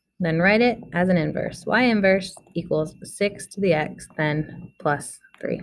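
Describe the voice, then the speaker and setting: A woman talks fairly slowly in a normal speaking voice, pitched fairly low with ordinary variation. She hardly pauses at all. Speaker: math teacher. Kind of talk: tutorial.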